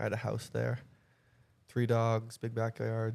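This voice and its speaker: Here a man talks at a moderate pace. He has a slight Boston accent. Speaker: fitness model. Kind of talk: casual chat.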